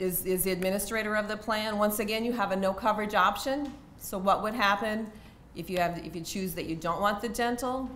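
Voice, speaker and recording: A woman talks at a fairly quick pace with a medium pitch and fairly even intonation. Audible room echo and noticeable background noise fill the recording. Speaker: university HR benefits staff. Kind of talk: presentation. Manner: fast; halting.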